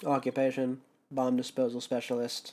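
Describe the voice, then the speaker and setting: Putting on a robotic character voice, a man speaks at a moderate pace with a medium pitch. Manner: flat, mechanical.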